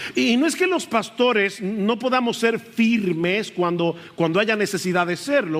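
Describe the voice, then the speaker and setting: At a moderate pace, a man speaks with high pitch and lively intonation. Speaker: pastor. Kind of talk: sermon. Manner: loud at times.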